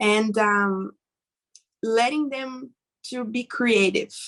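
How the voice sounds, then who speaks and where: A woman's fairly high voice at a very slow pace, with fairly even intonation. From Brazil. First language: Portuguese. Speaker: webinar panelist. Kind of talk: panel discussion. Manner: halting.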